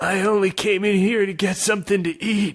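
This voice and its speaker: Someone performs a put-on character voice at a moderate pace with very even loudness. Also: man. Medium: read story. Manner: muttering.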